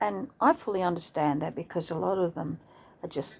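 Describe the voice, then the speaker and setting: A woman's voice with vocal fry, lively intonation and an Australian accent, on a very clean recording with a silent background. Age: 60s. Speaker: vlogger. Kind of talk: casual monologue. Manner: halting.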